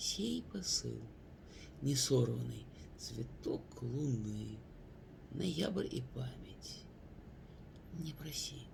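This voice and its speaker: Long, frequent pauses break up a man's very slow delivery. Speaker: poet. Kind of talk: poetry reading.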